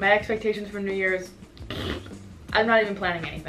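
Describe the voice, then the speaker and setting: Light background noise accompanies the woman as she talks. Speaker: fashion vlogger. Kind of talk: casual vlog chat. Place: home room. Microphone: camera far.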